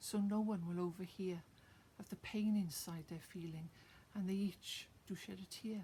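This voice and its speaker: At a moderate pace, a woman speaks in a somewhat breathy, dark, mellow tone at medium pitch with fairly even intonation. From Wales. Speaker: poet. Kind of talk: casual introduction; reading aloud own poem.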